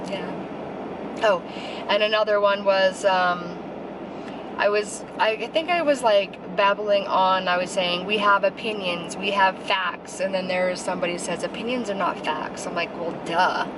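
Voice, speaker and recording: With an American accent, a woman speaks at a moderate pace and medium pitch. Her pitch varies in an ordinary way, and noticeable background noise is present. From Utah. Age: 30s. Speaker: YouTuber. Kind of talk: casual vlog chat. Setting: in a car. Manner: slurred.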